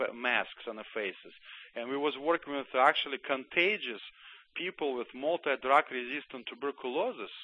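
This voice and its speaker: A man talks with a Russian accent. His pace is moderate. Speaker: former Soviet army doctor and author. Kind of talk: radio interview.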